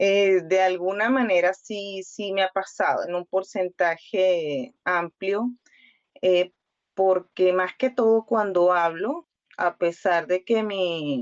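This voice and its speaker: Speaking very slowly, a woman with a Venezuelan accent uses a medium pitch and ordinary pitch variation. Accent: Venezuelan Spanish accent, kept in Chile. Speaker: doctor, migrant. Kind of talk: interview testimony. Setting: radio interview. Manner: hesitant, many fillers and repetitions.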